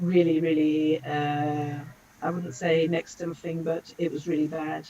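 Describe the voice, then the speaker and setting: With a London accent, a woman speaks at a very slow pace in a very deep, low pitch, her tone dark and mellow and her intonation monotone and flat. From London, England. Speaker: language school director. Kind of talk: casual interview. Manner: halting.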